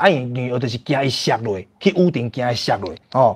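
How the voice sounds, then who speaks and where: A man with lively intonation at a moderate pace, against a quiet background. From Taiwan. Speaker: livestream host. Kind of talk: casual livestream chat with viewers. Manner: animated. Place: home room. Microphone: lapel.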